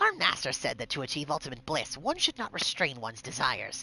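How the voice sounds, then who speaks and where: Someone performs a put-on character voice at a low-to-middle pitch. The pace is very fast, with light background noise. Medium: game stream. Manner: mocking.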